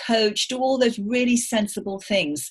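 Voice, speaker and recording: A woman with a slight English accent. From England. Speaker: business coach. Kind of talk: podcast interview.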